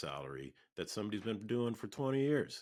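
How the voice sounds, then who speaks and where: With an American accent and vocal fry, a man talks at a fairly quick pace. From Minneapolis, Minnesota. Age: 60s. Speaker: oral history interviewee. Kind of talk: oral history interview. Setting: video call. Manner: hesitant, with fillers.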